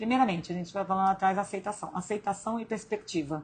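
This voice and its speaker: A woman speaks at a medium pitch with ordinary pitch variation and a fairly quick pace. Her voice is somewhat breathy. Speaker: live stream host, self-development coach. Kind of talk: live stream talk. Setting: hospital room.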